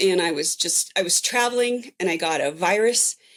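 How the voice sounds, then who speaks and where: A woman's fairly high pitch with ordinary pitch variation, at a moderate pace. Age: 60s. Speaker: recovered patient sharing story. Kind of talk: interview testimony. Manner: animated.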